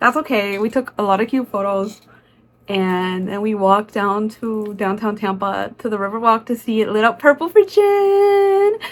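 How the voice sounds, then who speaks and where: A woman speaks in an animated tone at a moderate pace. Her pitch is fairly high, with ordinary variation. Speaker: vlogger. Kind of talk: casual vlog voiceover.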